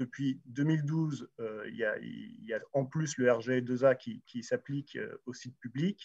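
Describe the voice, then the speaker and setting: A man's somewhat breathy, fairly high voice with lively intonation, in a dry, close sound with no echo. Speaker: round table moderator. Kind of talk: panel discussion moderation. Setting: livestreamed event with sign language interpreting. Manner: hesitant, many fillers.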